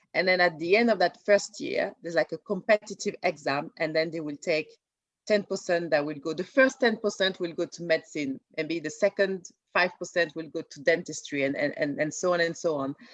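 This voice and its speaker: A woman with a French accent, fairly low-pitched with ordinary pitch variation and a fairly quick pace, her loudness swinging widely in a dry, close sound with no echo. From France. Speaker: junior doctor and TV writer. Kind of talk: interview. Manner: halting, many fillers and repeats.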